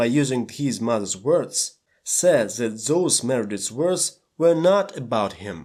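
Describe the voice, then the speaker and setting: With a Russian accent, a man talks at a fairly slow pace with lively intonation. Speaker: movie analysis youtuber. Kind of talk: scripted narration.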